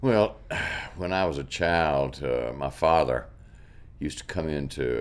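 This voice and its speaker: A man with a Mississippi accent, fairly slow in pace, with ordinary pitch variation. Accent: Southern US (Mississippi). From US South, Mississippi (Yazoo County). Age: 70s. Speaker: artist. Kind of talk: interview. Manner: halting, repeats words.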